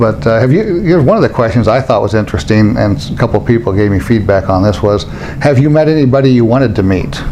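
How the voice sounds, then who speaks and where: Talking at a very fast pace with lively intonation and medium pitch, a man is heard over noticeable background noise and audible room echo. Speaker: interviewer, database software consultant. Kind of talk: casual interview. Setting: conference venue. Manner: mumbling.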